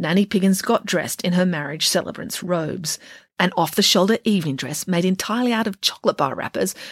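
Natural-voiced reading aloud, pitch varying in an ordinary way

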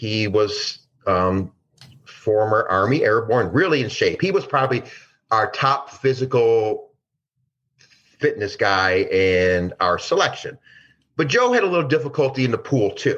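Against a quiet background, a man speaks at a fairly slow pace and very even loudness. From Detroit, Michigan, US. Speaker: former DEA agent. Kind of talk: interview storytelling.

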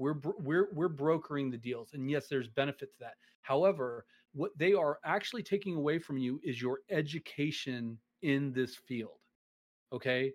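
With a normal speaking voice, a man talks at a moderate pace and fairly high pitch, with ordinary pitch variation and big swings in loudness against a quiet background. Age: 40s. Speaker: streaming platform staff member. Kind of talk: casual interview. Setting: live stream.

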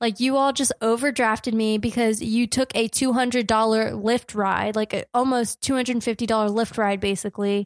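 Speaking slowly in a fairly high, flat monotone, a woman with an American accent keeps her loudness very even, the sound dry and close with no echo. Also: very clean recording, silent background. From New Jersey. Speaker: podcast co-host. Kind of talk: casual chat.

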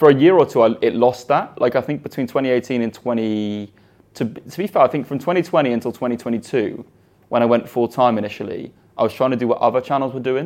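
Very fast, a man speaks with ordinary pitch variation. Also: medium pitch for a man. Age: 20s. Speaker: YouTuber. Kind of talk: interview.

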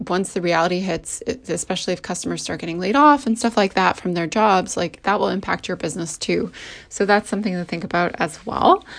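A woman talks at a fairly quick pace with vocal fry and ordinary pitch variation. The background is quiet. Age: 30s. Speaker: podcast host and business coach. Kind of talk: solo podcast talk. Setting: recording at home.

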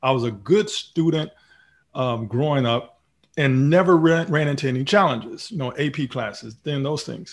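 With an American accent, a man speaks at a fairly high pitch, sounding somewhat breathy. He keeps a moderate pace over a quiet background. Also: ordinary pitch variation. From Texas. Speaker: retired Marine officer and speaker. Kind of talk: interview. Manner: halting, frequent ums.

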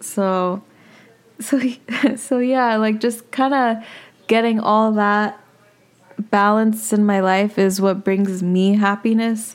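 A woman's fairly high voice, monotone and flat, at a very slow pace with long, frequent pauses and very even loudness. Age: 20s. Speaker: podcast host. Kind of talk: solo personal vlog monologue. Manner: casual, relaxed.

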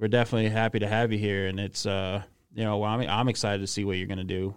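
A man's fairly low, monotone, flat delivery in a very clean recording with a silent background. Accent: American. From Connecticut. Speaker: football coach. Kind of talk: casual chat.

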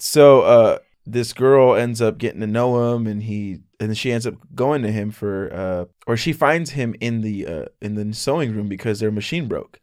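Over a very clean recording with a silent background, a man speaks in a plain, everyday voice at medium pitch and a moderate pace, with ordinary pitch variation. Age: 20s. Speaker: podcast guest, anime fan. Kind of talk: casual chat.

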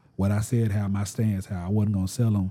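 Speaking with a Southern US accent, a man uses a dark, mellow tone at a fairly low pitch. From US South. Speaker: YouTuber sneaker reviewer. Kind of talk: casual interview chat. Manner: animated, funny, conversational.

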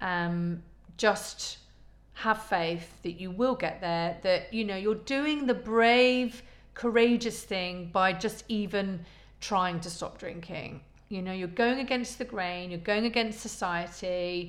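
In a Midlands accent, a woman speaks at a very slow pace. Her pitch is medium, with ordinary variation. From English Midlands, Leicester. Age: 40s. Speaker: podcast host. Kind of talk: personal testimony. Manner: hesitant, many fillers.

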